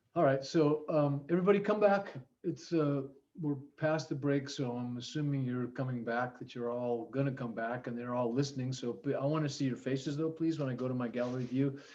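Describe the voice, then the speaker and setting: Talking at a fairly quick pace, a man with a fairly high pitch and a dark, mellow tone uses ordinary pitch variation. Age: 70s. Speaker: teacher. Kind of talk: online class. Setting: video call.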